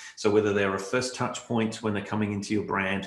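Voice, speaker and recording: With an Australian accent, a man speaks at a fairly low pitch and with fairly even intonation, and the room echo is audible. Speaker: keynote speaker, marketing strategist. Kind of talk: virtual conference keynote. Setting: virtual online event. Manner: conversational with frequent fillers.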